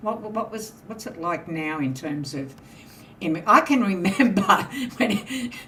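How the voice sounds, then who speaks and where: A woman with an Australian accent, fairly slow, with very wide pitch swings, big swings in loudness and long, frequent pauses, amid audible room echo and noticeable background noise. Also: medium pitch for a woman. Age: 70s. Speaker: podcast panel host. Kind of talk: casual panel discussion.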